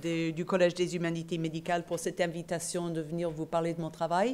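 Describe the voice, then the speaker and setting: A woman speaks with a slight non-native accent. Her pitch is fairly low and her pace is moderate. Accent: slight foreign accent in French. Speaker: professor and nurse. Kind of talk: conference lecture. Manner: hesitant, many fillers.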